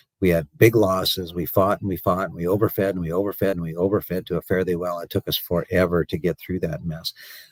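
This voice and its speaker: A man with a very deep, low pitch, monotone and flat, at a very fast pace with hardly any pauses, on a very clean recording with a silent background. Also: dry, close sound with no echo. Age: 60s. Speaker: cattle market analyst and commodity broker. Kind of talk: radio interview. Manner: halting, many fillers and repetitions.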